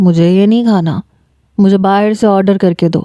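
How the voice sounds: A natural reading voice keeps fairly even intonation against a quiet background.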